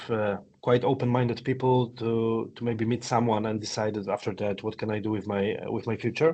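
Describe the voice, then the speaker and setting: A man's speech moves at a fairly quick pace. Monotone, flat intonation runs through it. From Poland, Silesia. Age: 40s. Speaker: entrepreneur. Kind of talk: interview. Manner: halting, many fillers and repetitions.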